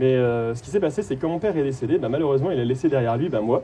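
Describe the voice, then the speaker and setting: This man's voice is pitched fairly high. His intonation moves in a lively way. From France, Haute-Saône. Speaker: performer of an activist lecture, former engineer. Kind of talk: participatory stage lecture. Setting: stage with audience. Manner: fast.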